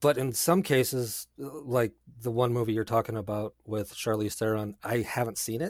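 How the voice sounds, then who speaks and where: An ordinary speaking voice from a man at medium pitch, ordinary pitch variation, on a very clean recording with a silent background. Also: dry, close sound with no echo. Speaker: podcast guest and music composer. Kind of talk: casual chat.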